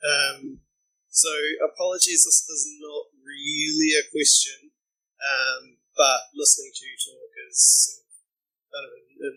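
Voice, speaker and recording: A man in a New Zealand accent at a very slow pace. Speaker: audience member, security company manager. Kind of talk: audience comment at panel.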